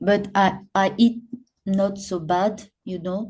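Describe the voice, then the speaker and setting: Very slowly and in a flat monotone, a woman speaks with a somewhat breathy, dark and mellow tone. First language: not English. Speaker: professional popping dancer. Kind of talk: podcast interview. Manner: halting, many repetitions and fillers.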